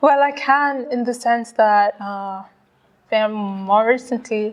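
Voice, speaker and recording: This woman speaks at a very slow pace with a fairly high pitch. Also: ordinary pitch variation. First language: Swahili and English. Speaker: author. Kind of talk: interview. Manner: halting, with many fillers and repetitions.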